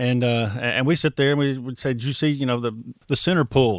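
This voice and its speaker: Speaking with an Alabama accent, a man keeps a fairly quick pace. His pitch is medium, with ordinary variation. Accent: Southern US (Alabama). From US South, Mobile, Alabama. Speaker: former pro football player. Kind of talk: interview. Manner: halting, many repeated words.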